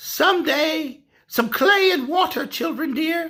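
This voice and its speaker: A high, squeaky put-on character voice is used here. It moves at a fairly slow pace. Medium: read story.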